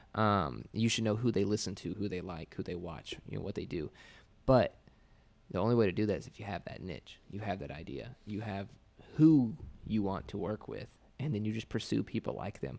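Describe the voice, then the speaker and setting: Speaking at a fairly quick pace, a man with a fairly low pitch and vocal fry uses lively intonation, and his loudness swings widely. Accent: American. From Indiana, small rural town. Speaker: digital agency owner and entrepreneur. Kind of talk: casual interview chat. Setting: podcast studio.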